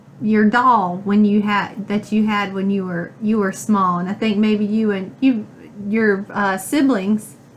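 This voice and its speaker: The speaker talks at a fairly slow pace. The voice is somewhat breathy. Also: woman. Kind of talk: interviewer questions.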